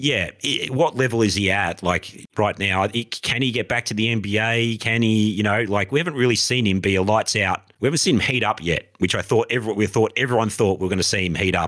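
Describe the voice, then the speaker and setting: Speaking in an Australian accent, a man talks at a very fast pace with a fairly low pitch and hardly any pauses. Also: ordinary pitch variation. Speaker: podcast co-host. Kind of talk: casual chat.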